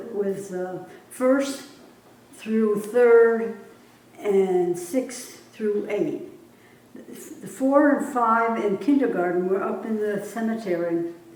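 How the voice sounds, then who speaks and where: A woman in an American accent speaks very slowly at a fairly high pitch with lively intonation, with audible room echo and noticeable background noise. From upstate New York, Columbia County. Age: 90s. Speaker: local elder interviewed for oral history. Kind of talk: oral history interview. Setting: library room. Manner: halting.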